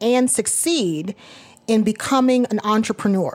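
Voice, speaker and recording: A woman with a normal speaking voice and fairly high pitch talks at a fairly slow pace with lively intonation, the sound dry and close with no echo. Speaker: podcast host. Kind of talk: interview, scripted intro.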